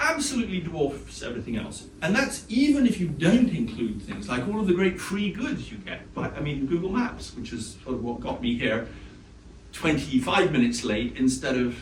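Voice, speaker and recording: A man's fairly high voice with very wide pitch swings, audible room echo and noticeable background noise. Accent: British. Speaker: economics professor. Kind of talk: lecture. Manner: fast.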